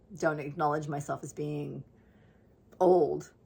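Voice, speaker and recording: A woman with a very deep, low pitch, monotone and flat, at a moderate pace. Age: 60s. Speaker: lifestyle vlogger. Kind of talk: casual monologue.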